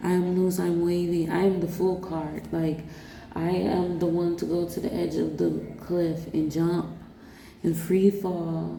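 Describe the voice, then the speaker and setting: Somewhat breathy speech comes through with audible room echo. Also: woman, fairly low pitch for a woman. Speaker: vlogger. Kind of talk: personal vlog monologue. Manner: animated; halting, stuttering at times.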